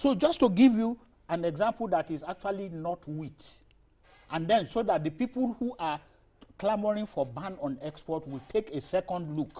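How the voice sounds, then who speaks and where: A man with a high pitch and a dark, mellow tone talks at a moderate pace. His intonation is lively. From Nigeria, Niger State. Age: 60s. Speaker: trade expert. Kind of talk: TV interview. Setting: studio.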